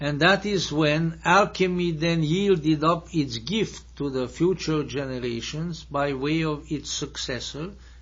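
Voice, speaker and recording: With audible room echo around him, a man talks fairly slowly at a fairly high pitch with ordinary pitch variation. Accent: Hungarian. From Hungary. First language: Hungarian. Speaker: lecturer. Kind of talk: lecture. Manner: halting.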